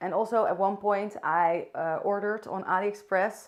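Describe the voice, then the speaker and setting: This woman's voice stays at a mid-range pitch, delivered in a flat monotone. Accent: Dutch. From Netherlands. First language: Dutch. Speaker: vlogger. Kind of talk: casual talk to camera. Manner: unscripted, occasionally searching for words.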